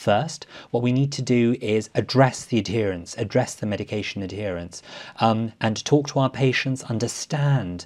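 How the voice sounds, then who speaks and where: Against a quiet background, a man with a medium pitch speaks at a moderate pace. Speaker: respiratory medicine professor. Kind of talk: medical education panel discussion. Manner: enthusiastic.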